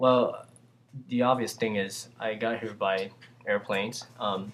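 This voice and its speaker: A man with a Vietnamese accent at a fairly slow pace and medium pitch, in monotone, flat intonation. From Vietnam, Saigon. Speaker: immigrant answering student questions. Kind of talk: casual q&a monologue. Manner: hesitant, with fillers.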